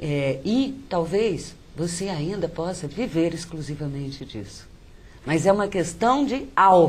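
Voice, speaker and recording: Amid audible room echo, a woman speaks at a very slow pace in a fairly low pitch, somewhat breathy and with very wide pitch swings. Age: 60s. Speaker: poet and writer. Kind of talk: interview.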